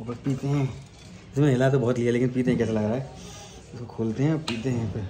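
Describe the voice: A man's dark, mellow voice at medium pitch, fast in pace and fairly even in intonation, with audible room echo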